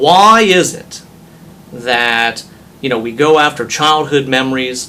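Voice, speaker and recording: Very slow speech from a man with a fairly high pitch and lively intonation, over noticeable background noise. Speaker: auctioneer. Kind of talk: interview answer.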